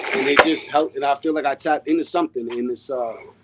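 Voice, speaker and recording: Noticeable background noise surrounds a man speaking at a fairly quick pace. His pitch is fairly high, with ordinary variation. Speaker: rapper. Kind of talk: podcast interview. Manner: calm.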